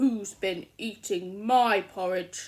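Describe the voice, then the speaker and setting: Loud and growling, a female-sounding put-on character voice speaks at a medium pitch. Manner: gruff, demanding.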